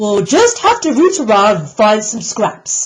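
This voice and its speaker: A female-sounding speaker puts on a gruff character voice. It sits at a fairly high pitch and moves at a fairly slow pace. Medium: read story. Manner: gruff, grunting.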